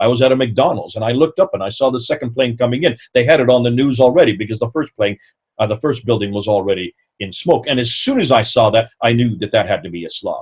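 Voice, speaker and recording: A man with an American accent talks very fast in a somewhat breathy voice, medium in pitch with ordinary pitch variation. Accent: sounds American. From northern India (American expatriate). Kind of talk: lecture.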